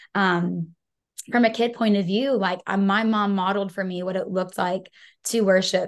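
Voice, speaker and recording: Against a quiet background, a woman talks at a moderate pace with a medium pitch and fairly even intonation. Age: 20s. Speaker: worship leader. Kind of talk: casual chat.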